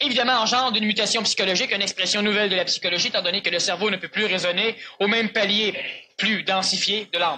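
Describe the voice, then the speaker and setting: A man's raised, projected voice rushes along at a very fast pace. It sits high in pitch with fairly even intonation. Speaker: spiritual lecturer. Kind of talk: lecture with audience Q&A.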